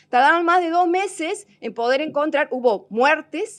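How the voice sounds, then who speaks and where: A woman speaks with a Córdoba Argentine accent. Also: quiet background. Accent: Cordoba Argentine. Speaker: technology presenter. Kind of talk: seminar talk. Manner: hesitant, many fillers.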